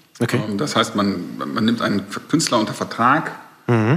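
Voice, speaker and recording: A man with a medium-pitched voice talks through noticeable background noise. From Ruhr area, Germany (Recklinghausen). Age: 40s. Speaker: music record label manager. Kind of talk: casual interview. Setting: recorded in a bar.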